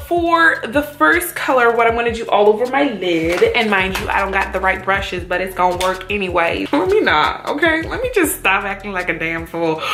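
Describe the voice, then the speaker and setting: With music in the background and audible room echo, a woman speaks at a medium pitch and a moderate pace, her pitch swinging very widely and hardly pausing at all. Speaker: beauty vlogger. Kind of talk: makeup tutorial with casual chat. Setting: at home alone. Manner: casual, lots of filler words.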